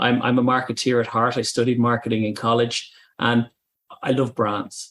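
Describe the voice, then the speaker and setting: A man with an Irish accent at a fairly quick pace. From Ireland. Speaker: company managing director. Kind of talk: interview.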